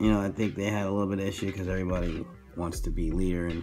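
A man's voice with faint music in the background. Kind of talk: casual tutorial chat. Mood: relaxed, amused. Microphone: phone near.

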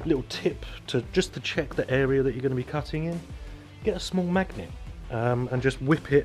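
A man talks at a very fast pace with ordinary pitch variation. Faint music plays in the background. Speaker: renovation vlogger. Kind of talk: casual vlog chat. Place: garage. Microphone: phone near.

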